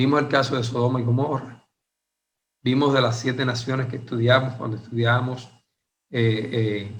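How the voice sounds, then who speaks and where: A man's somewhat breathy, monotone voice at a medium pitch, flat in intonation, at a moderate pace with long, frequent pauses and audible room echo. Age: 60s. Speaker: Bible teacher. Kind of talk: Bible study lecture. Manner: hesitant with frequent fillers.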